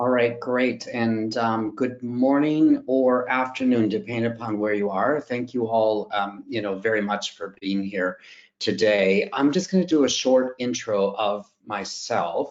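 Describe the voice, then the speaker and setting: With a strong North American accent, the speaker talks at a fairly slow pace with hardly any pauses and ordinary pitch variation. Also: man, medium pitch for a man. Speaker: fundraising expert presenter. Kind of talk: webinar presentation. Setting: online webinar.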